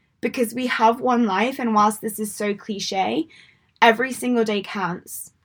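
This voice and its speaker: In an English accent, a woman talks at a fairly slow pace. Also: fairly high pitch for a woman. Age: 20s. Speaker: mindset coach and podcast host. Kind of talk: motivational monologue. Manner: animated.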